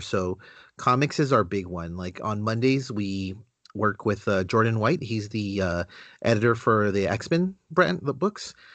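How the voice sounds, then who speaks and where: A man has an unremarkable speaking voice with lively intonation. He talks at a moderate pace over a quiet background. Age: 30s. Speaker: comic book website writer. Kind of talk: casual interview chat.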